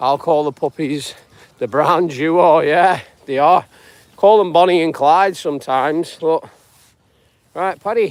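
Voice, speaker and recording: Speaking with a British accent, a man with a fairly high pitch goes at a fairly slow pace, using ordinary pitch variation and long, frequent pauses. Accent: UK. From northwest England. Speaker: self-help vlogger. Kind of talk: live stream chat. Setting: outdoors. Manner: halting.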